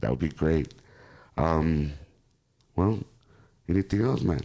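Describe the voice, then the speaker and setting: A man talks in a Spanish accent with a very deep, low pitch. The recording is very clean, the background silent. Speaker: podcast host. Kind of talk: casual interview.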